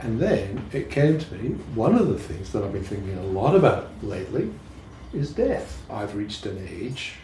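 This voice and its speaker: Talking at a fairly slow pace, a man uses lively intonation, and audible room echo surrounds his voice. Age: 70s. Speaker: poet. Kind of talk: casual chat.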